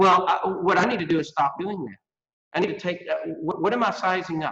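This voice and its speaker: In a Texas accent, a man speaks at a fairly quick pace with a high pitch and ordinary pitch variation. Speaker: workforce education expert. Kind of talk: interview.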